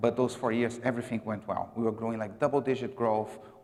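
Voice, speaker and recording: With a Brazilian accent, a man talks at a medium pitch in a flat, monotone delivery. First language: Portuguese. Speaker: marketing executive. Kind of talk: conference talk. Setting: gala dinner stage with audience. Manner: casual with many fillers.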